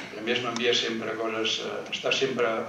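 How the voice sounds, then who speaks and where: At a moderate pace, a man speaks with medium pitch. Audible room echo and light background noise surround him. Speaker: panel speaker at a commemorative talk. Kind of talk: public talk to an audience. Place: hall.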